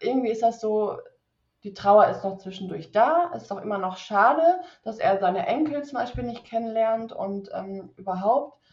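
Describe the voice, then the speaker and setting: The speech moves at a fairly slow pace. Pitch variation is ordinary. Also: woman. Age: 30s. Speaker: PR consultant, podcast guest. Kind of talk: personal testimony in interview. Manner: halting, many fillers and restarts.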